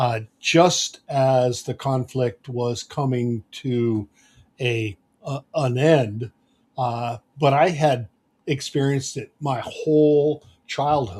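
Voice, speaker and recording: A somewhat breathy voice at a very slow pace with ordinary pitch variation, dry and close with no echo. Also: man, medium pitch for a man. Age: 70s. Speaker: podcast host. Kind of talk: podcast interview.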